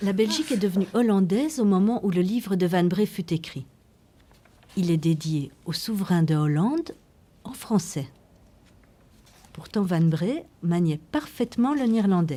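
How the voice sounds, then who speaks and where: A woman at medium pitch, somewhat breathy and dark and mellow in tone, with lively intonation, a fairly slow pace and long, frequent pauses. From Belgium, Brussels. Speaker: documentary filmmaker. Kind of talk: documentary narration.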